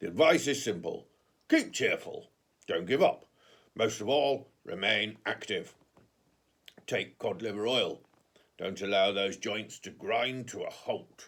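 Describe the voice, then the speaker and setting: A man uses a put-on character voice that is raspy and medium in pitch. He talks at a fairly slow pace with long, frequent pauses. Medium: read story. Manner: brisk, confident, showy.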